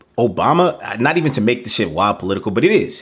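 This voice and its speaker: A man speaks at a fairly quick pace with lively intonation. It is a normal speaking voice. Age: 30s. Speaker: podcast co-host, public health researcher. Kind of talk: casual chat.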